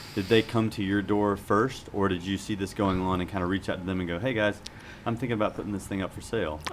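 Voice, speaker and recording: A man talks with an American accent in a normal speaking voice, pitched fairly low. His pace is fairly quick and his intonation fairly even. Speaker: podcast host. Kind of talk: casual chat. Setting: studio.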